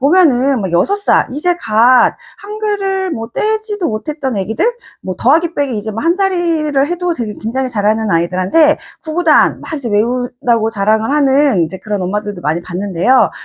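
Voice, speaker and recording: A woman's high voice swings very widely in pitch at a moderate pace, recorded with a dry, close sound and no echo. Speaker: math textbook author and educator. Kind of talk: educational video talk. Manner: conversational with many fillers.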